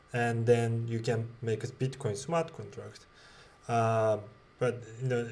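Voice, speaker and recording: Male voice, somewhat breathy. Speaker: tech educator. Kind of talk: tutorial. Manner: slow; halting, many fillers.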